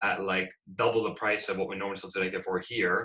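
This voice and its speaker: A man's fairly low pitch and bright, sharp tone at a fairly quick pace over a quiet background. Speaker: guest. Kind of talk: interview answer. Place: home room. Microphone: video call.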